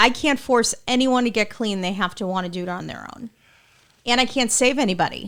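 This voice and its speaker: A woman with a fairly high pitch has an unremarkable speaking voice, with ordinary pitch variation and big swings in loudness. The recording is very clean, with a silent background. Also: fairly quick pace. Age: 40s. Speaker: podcast host. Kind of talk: casual interview.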